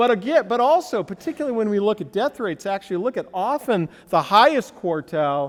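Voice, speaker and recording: A man with a high voice for a man talks with very wide pitch swings. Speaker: economics professor. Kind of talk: conference lecture. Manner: halting, many restarts.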